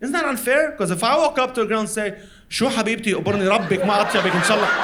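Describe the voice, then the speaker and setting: Over noticeable background noise, a man talks at a very fast pace. His pitch is high, with ordinary pitch variation. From Lebanon. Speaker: stand-up comedian. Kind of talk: stand-up comedy performance. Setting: live comedy venue.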